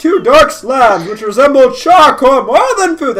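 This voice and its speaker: This is a put-on character voice. It moves at an average tempo. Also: man, extremely high pitch for a man. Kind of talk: narrator voice.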